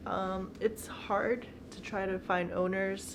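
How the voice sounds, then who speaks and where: The speaker is a woman with a slight Bulgarian accent. Her pitch is medium. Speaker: vlogger. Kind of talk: casual Q&A vlog.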